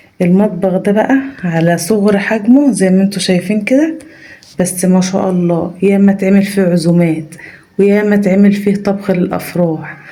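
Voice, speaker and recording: At a moderate pace and very even loudness, a woman speaks with ordinary pitch variation, amid noticeable background noise and audible room echo. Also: medium pitch for a woman. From rural Egypt. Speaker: family vlogger. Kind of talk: vlog. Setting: family home, early morning. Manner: soft-spoken, lowered voice; animated.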